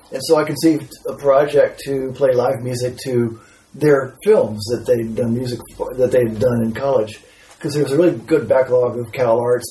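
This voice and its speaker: Noticeable background noise sits behind a man speaking at a moderate pace and a medium pitch. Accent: American. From Texas. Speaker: composer and musician. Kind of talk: casual chat.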